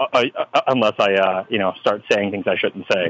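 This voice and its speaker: A man speaks with an American accent. The sound is dry and close with no echo, though background noise is noticeable. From Texas. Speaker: comic book writer. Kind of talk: interview. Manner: halting, with many fillers.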